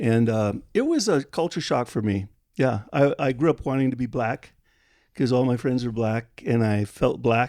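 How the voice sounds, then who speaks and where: On a very clean recording with a silent background, a man speaks at a moderate pace in a medium-pitched voice with a dark, mellow tone and ordinary pitch variation. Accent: American. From Liberia. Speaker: missionary Bible translator. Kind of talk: interview. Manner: halting.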